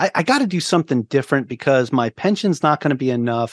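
The speaker has a New York accent and a fairly quick pace, with ordinary pitch variation. The sound is dry and close with no echo, and the background is quiet. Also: man. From Long Island, New York. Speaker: navy veteran, podcaster and real estate agent. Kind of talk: podcast interview. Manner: talkative.

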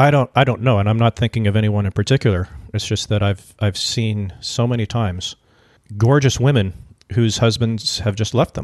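A man with a normal speaking voice talks at a fairly quick pace and medium pitch with fairly even intonation, in a dry, close sound with no echo and a quiet background. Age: 40s. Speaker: podcast co-host. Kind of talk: casual chat.

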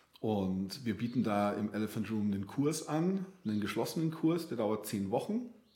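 With a dark, mellow tone and lively intonation, a man talks at a medium pitch with hardly any pauses. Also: moderate pace. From Bavaria, outskirts of Munich. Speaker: art therapist. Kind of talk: interview conversation. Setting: in-person studio, coaching room. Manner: hesitant, many fillers and repetitions.

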